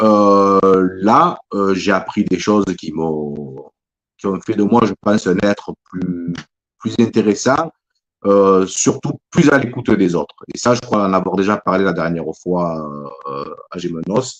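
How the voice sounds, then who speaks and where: Speaking at a very slow pace, a man uses a fairly low pitch with ordinary pitch variation. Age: 60s. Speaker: author. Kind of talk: interview. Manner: halting, many repetitions.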